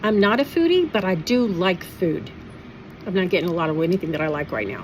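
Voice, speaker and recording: Speech at a very fast pace with ordinary pitch variation comes through noticeable background noise. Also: woman, medium pitch for a woman. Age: 60s. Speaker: vlogger sharing denture experience. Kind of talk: personal vlog monologue.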